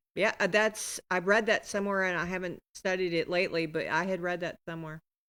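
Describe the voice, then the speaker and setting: In a very clean recording with a silent background, a woman speaks at medium pitch with an American accent. Her tone is bright and sharp, her intonation monotone and flat. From Appalachia, US. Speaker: podcast host. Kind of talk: casual chat.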